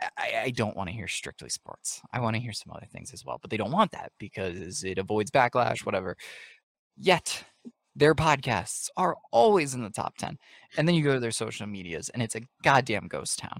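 A man with an American accent and an unremarkable speaking voice, medium pitch, lively intonation and a moderate pace, in a dry, close sound with no echo. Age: 20s. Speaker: podcast co-host. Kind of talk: casual chat.

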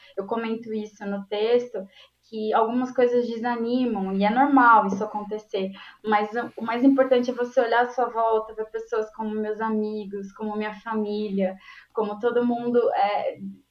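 A woman with a fairly high pitch talks at a moderate pace, her intonation monotone and flat. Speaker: database specialist in IT. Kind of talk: interview on live stream.

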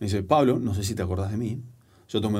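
Very fast and somewhat breathy, a man speaks at fairly low pitch in a dark, mellow tone, with audible room echo around him. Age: 40s. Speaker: storytelling and public speaking coach, author. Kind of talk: casual interview conversation. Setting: studio.

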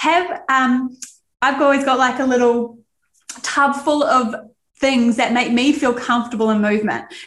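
Moderate pace in a New Zealand accent, fairly even intonation and very even loudness. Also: woman, high pitch for a woman. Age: 30s. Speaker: Pilates instructor, podcast co-host. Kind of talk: casual chat.

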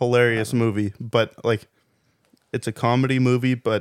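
Speaking at a fairly slow pace in a monotone, flat intonation, a man is heard in a dry, close sound with no echo on a very clean recording with a silent background. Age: 20s. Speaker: podcast guest. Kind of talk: casual chat.

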